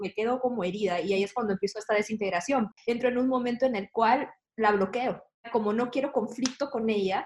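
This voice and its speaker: A woman with an unremarkable speaking voice talks at a fairly quick pace, her pitch fairly high with ordinary variation. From Peru, Lima. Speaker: church staff member. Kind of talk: casual panel conversation.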